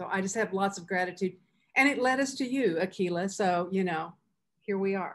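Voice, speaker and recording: Her pitch is medium and varies in an ordinary way as this woman talks in an ordinary speaking voice. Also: moderate pace. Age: 60s. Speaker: philanthropy leader. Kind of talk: panel discussion.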